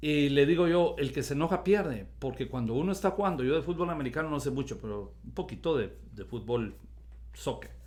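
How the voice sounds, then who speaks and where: A man talks at a moderate speed, with audible room echo around his voice. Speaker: pastor. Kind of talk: sermon. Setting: recorded video.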